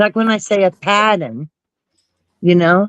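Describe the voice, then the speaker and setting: The speaker talks at a fairly slow pace with a New Jersey accent. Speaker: YouTube commentary streamer. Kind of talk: casual chat. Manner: animated.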